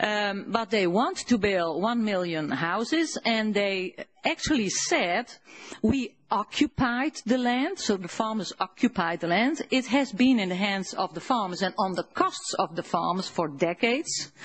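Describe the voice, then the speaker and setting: Somewhat breathy, the voice moves at a fairly slow pace with lively intonation. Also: woman, medium pitch for a woman. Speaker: farmers' advocate. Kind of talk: conference speech. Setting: conference hall.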